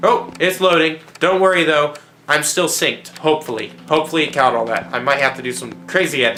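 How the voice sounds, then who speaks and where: A man speaks at a fairly quick pace in an animated tone, his voice raised and projected. Music plays in the background, and there is audible room echo. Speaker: gaming youtuber. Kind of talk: let's play commentary. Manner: fast.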